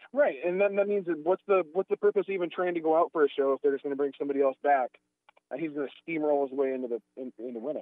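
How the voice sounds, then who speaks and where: A man with a fairly high pitch and ordinary pitch variation talks at a very fast pace. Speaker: podcast host. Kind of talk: casual chat.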